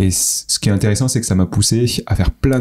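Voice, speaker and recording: A man with a fairly low pitch talks at a fairly quick pace while noticeable background noise plays behind him. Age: 30s. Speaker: startup founder. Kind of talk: interview.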